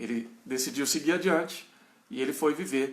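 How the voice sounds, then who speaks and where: A man talks in an interior São Paulo accent. His voice is fairly high, with lively intonation. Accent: caipira, moderate. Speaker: pastor. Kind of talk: bible study lecture. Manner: halting.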